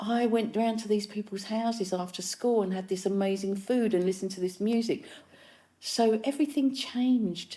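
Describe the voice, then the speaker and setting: A woman with a London accent speaks at a moderate pace in a somewhat breathy, dark, mellow tone, fairly high in pitch with ordinary pitch variation. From East London, England. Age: 60s. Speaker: musician and filmmaker. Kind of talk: casual chat.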